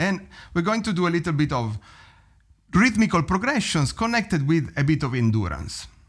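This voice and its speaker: A man with an Italian accent at a moderate pace, in a very clean recording with a silent background. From Italy. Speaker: drum teacher. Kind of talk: tutorial.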